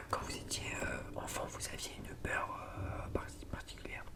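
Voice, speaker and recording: A man whispers very slowly in a gentle, calm tone. Noticeable background noise sits behind him. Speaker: ASMR creator. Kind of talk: ASMR roleplay, asking questions to help sleep. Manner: gentle, calm, soft-spoken.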